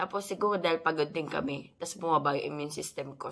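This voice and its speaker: A woman speaks at a fairly low pitch in a bright, sharp tone. Her pace is moderate and her pitch varies in an ordinary way. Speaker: mommy vlogger. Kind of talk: casual vlog talk.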